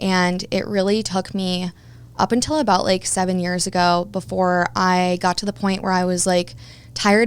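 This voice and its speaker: A woman with a mid-range voice talks over total silence in a very clean recording. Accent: Midwestern American. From Kansas City area, US Midwest. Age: 20s. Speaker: personal trainer and yoga teacher, former radio DJ. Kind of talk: interview, personal testimony.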